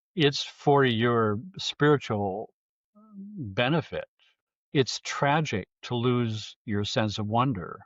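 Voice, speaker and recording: Very slowly, a man speaks at a medium pitch with lively intonation. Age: 70s. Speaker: sound healing researcher. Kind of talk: interview.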